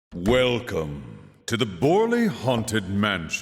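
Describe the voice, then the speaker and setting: A man's put-on character voice at a very slow pace. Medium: video game. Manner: theatrical, teasing.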